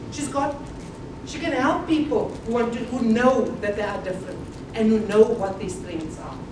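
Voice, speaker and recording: Over noticeable background noise and audible room echo, the speaker talks at a moderate pace with lively intonation and big swings in loudness. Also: woman, fairly high pitch for a woman. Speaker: motivational speaker. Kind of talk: conference talk. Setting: conference hall with audience. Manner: loud, projecting without a microphone; animated. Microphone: no microphone.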